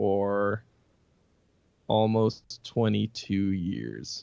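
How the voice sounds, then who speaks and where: With an American accent, a man speaks in a monotone, flat intonation at a fairly low pitch. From US Northeast, Boston suburbs. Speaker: metal guitarist and singer. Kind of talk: casual interview.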